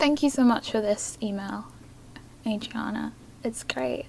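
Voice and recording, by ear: A woman with fairly high pitch and vocal fry speaks at a fairly slow pace, her tone slightly mellow and her pitch varying in an ordinary way.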